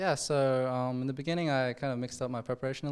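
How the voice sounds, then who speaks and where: This man talks at a very fast pace with an Australian accent. His pitch sits in the medium range. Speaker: chess player. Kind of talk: post-game interview. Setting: studio. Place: hall. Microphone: handheld.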